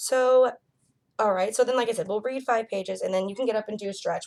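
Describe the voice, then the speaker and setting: A woman's very fast speech with fairly even intonation. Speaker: student teacher tutoring a child. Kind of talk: one-on-one reading lesson. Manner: casual, filler-heavy.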